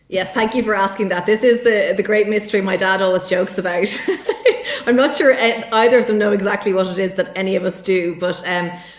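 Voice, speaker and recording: A woman talks at a very fast pace with an Irish accent, her pitch medium and her intonation fairly even. Noticeable background noise runs under her voice. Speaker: tech sales executive. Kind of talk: podcast interview.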